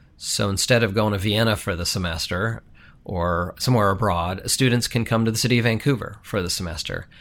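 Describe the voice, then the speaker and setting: Talking at a fairly quick pace in an American accent, a plain, everyday voice shows ordinary pitch variation on a very clean recording with a silent background. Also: man, fairly low pitch for a man. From international upbringing, teens in Colorado. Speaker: city manager. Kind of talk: interview.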